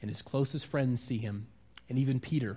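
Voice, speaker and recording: With an American accent, a man speaks somewhat breathily at a medium pitch and moderate pace, with ordinary pitch variation. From US Midwest, Wisconsin. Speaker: pastor. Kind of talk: sermon. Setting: church.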